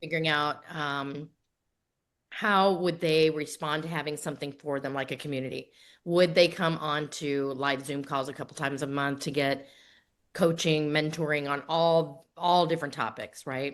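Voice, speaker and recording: Over a quiet background, a woman with a very deep, low voice speaks at a moderate pace with fairly even intonation. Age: 60s. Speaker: grief author and coach. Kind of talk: podcast interview.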